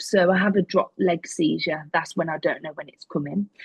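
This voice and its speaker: Speaking at a moderate pace with an English accent, a woman uses a medium pitch, ordinary pitch variation and a somewhat breathy voice. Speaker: podcast guest living with chronic illness. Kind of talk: interview. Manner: occasional tics and stammer.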